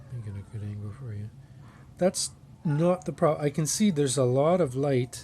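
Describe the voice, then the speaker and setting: Somewhat breathy and dark and mellow in tone, a man talks at a fairly quick pace with big swings in loudness. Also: lively intonation. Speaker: harmonica customizer. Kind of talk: tutorial demonstration. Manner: casual, hesitant.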